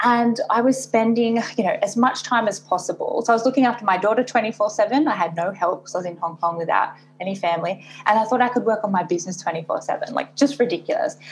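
Over noticeable background noise, a woman with an Australian accent speaks at a very fast pace and a fairly high pitch. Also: ordinary pitch variation. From Australia, Sydney. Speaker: business coach. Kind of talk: interview. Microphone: poor audio quality, thin sound.

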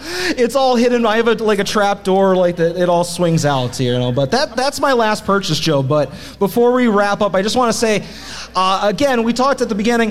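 With noticeable background noise behind him, a man speaks at a fairly quick pace in a high pitch, his pitch swinging very widely while his loudness stays very even. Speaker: wrestling podcast host. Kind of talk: casual chat, comedic banter. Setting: stage with live audience.

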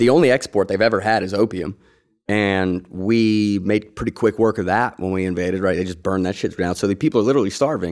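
A man talks at a very fast pace, his fairly low pitch varying in an ordinary way, on a very clean recording with a silent background. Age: 30s. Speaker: veterans podcast host, military veteran. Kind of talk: casual interview.

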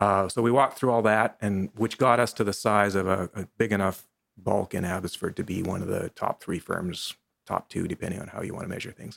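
With a plain, everyday voice, a man talks at a fairly low pitch and a fairly quick pace with fairly even intonation, in a dry, close sound with no echo. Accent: Canadian. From western Canada. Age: 50s. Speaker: lawyer and real estate investor. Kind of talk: casual interview. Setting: studio.

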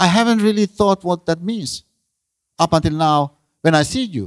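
A man with a Finnish accent speaks at a moderate pace, in a dry, close sound with no echo on a very clean recording with a silent background. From Finland. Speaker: professor. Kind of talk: lecture. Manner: halting.

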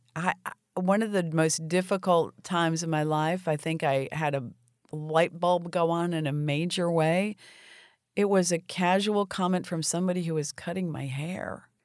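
On a very clean recording with a silent background, a woman with a normal speaking voice and an American accent talks at a moderate pace, her pitch fairly low and intonation fairly even. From South Florida. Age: 60s. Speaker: nonprofit executive director. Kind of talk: interview.

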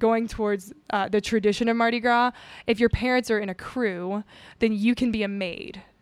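A woman speaks at a fairly high pitch with ordinary pitch variation and a moderate pace, on a very clean recording with a silent background. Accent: American. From US South, Houma, Louisiana (Cajun). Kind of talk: casual interview chat.

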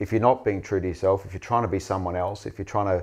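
This man speaks with an Australian accent. His pitch is very deep and low. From Western Australia. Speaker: mining executive. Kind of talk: interview.

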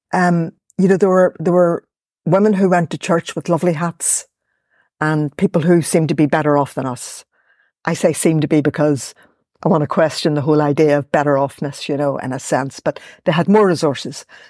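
In a Belfast accent, the voice moves at a fairly quick pace with fairly even intonation and a dark, mellow tone, in a very clean recording with a silent background. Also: woman, very deep, low pitch for a woman, dry, close sound with no echo. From Northern Ireland, West Belfast. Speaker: academic and poet. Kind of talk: interview conversation.

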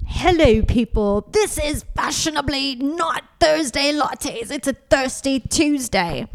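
A female-sounding put-on character voice, high in pitch, fairly slow, with hardly any pauses

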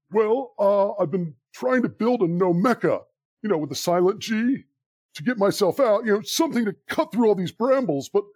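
A put-on character voice with lively intonation and a dry, close sound with no echo. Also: man. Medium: audio drama. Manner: rambling, hesitant.

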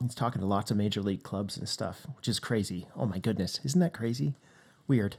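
A man with a Canadian accent and an unremarkable speaking voice, fairly low in pitch, at a fairly quick pace with lively intonation. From Western Canada. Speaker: pastor. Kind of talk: interview. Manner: casual.

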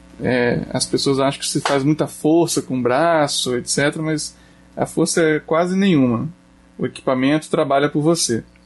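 With music in the background, a man speaks at a fairly slow pace in a fairly high pitch, his loudness very even and his pitch varying in an ordinary way. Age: 30s. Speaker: shop owner and outdoor sports enthusiast. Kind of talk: casual chat.

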